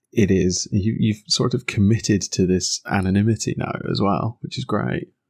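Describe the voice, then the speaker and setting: A man talks with vocal fry at a fairly low pitch. The sound is dry and close, without echo. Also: lively intonation, moderate pace. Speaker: podcast host. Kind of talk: casual banter podcast.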